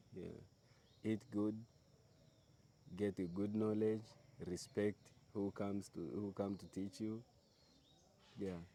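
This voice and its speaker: With long, frequent pauses, a man speaks very slowly in a fairly low, dark and mellow voice with fairly even intonation. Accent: Tanzanian. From Meru, Tanzania. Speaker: tour guide. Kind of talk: interview answer.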